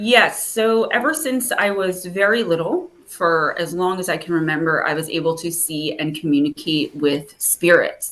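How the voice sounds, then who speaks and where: Speaking with a New Jersey accent, a woman talks at a moderate pace with hardly any pauses, using fairly low pitch and ordinary pitch variation. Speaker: spiritual advisor and author. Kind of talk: interview. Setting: video call.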